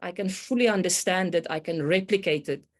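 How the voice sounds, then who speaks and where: A woman with a South African accent speaks at a moderate pace, her pitch varying in an ordinary way. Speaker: complexity consultant, meteorologist by training. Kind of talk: podcast interview. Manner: hesitant, many fillers.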